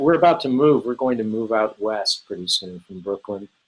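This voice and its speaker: Very fast and with lively intonation, a man speaks in an American accent. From Southern California. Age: 60s. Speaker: author and former illustrator. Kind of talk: interview.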